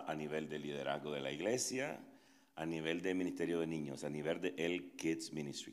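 Audible room echo surrounds a man's very deep, low voice. He speaks with vocal fry. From Nicaragua. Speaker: pastor. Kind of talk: interactive workshop talk. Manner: halting.

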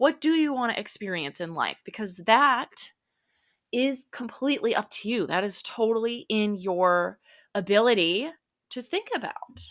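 In a very clean recording with a silent background, a woman with an American accent talks at a fairly slow pace, her fairly high pitch carrying lively intonation. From central Minnesota. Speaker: podcast host and life coach. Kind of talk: motivational talk. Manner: casual with many fillers.

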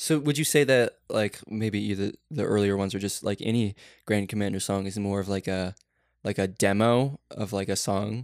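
In a very clean recording with a silent background and a dry, close sound with no echo, a man with a fairly low pitch speaks at a moderate pace with ordinary pitch variation in a normal speaking voice. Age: 20s. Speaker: podcast host. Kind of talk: casual chat.

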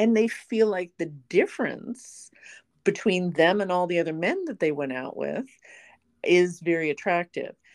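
A woman with a plain, everyday voice speaks at a moderate pace and a fairly low pitch, with ordinary pitch variation over a quiet background. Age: 50s. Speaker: podcast host. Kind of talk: casual chat.

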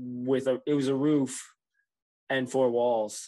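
This is an ordinary speaking voice with fairly even intonation over a quiet background. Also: man. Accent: American. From New Jersey. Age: 40s. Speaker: cannabis farmer. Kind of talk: casual interview.

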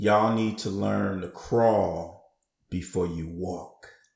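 A raspy, put-on character voice moves at a very slow pace. Its intonation stays fairly even. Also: man, very deep, low pitch for a man. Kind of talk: street, condescending. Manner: mocking, talking down.

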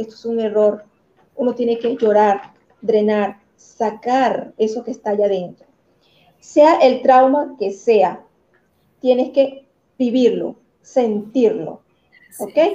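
A woman with a Venezuelan accent and a dark, mellow tone speaks at a very slow pace, with long, frequent pauses. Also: fairly high pitch for a woman, ordinary pitch variation, big swings in loudness. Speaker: motivational coach. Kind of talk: talk show interview.

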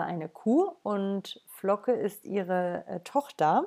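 A woman talks at a medium pitch. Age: 30s. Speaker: podcaster and animal rights advocate. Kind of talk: solo monologue. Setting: at home in the living room. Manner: hesitant, many filler sounds. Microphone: laptop.

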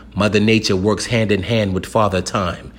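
A man with an American accent speaks in an intense tone. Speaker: spoken-word poet. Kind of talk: performed spoken-word poem, rhymed and rhythmic. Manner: intense, declarative, emphatic delivery with punchy rhyming cadence; preacher-like, urgent and confrontational, then calmer and reassuring.

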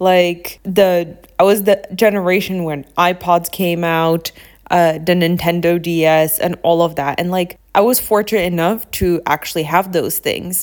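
Flat and monotone, a woman speaks at a fairly slow pace in a fairly low pitch. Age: 20s. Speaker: podcast host. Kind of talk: casual monologue.

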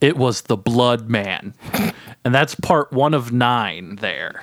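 On a very clean recording with a silent background and a dry, close sound with no echo, a man of medium pitch speaks in an animated tone with ordinary pitch variation. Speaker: podcast host. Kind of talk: casual comedic podcast banter. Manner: animated, joking, rambling.

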